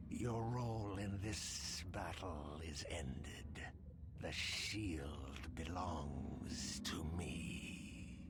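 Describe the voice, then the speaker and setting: Amid loud background noise, a man performs a put-on character voice at a very slow pace and very deep, low pitch. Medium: machinima. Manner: measured, formal, archaic.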